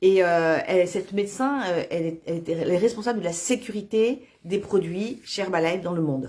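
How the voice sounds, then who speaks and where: At a fairly quick pace and with hardly any pauses, a woman speaks at medium pitch with lively intonation and a dark, mellow tone. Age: 60s. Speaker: nutrition product distributor. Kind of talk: sales pitch. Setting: Facebook live video. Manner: halting, many fillers.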